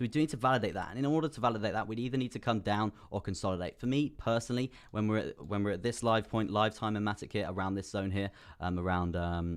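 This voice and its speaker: Very fast and animated, a man talks in a fairly low pitch with ordinary pitch variation. The recording is very clean, with a silent background. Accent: British. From UK. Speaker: crypto trading streamer. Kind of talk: live stream chart analysis.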